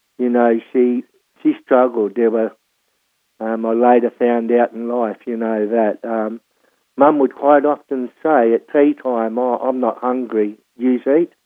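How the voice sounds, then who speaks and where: In an Australian accent, a man speaks at a fairly slow pace with a medium pitch and fairly even intonation. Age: 60s. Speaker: former prisoner sharing life story. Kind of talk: testimony. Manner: halting, many repetitions and fillers.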